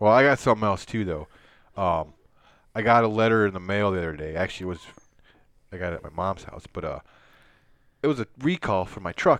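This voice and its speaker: In a quiet background, a man with a fairly low pitch talks at a very fast pace, breaking it up with long, frequent pauses and big swings in loudness. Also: ordinary pitch variation. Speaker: podcast co-host. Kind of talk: casual chat. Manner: animated.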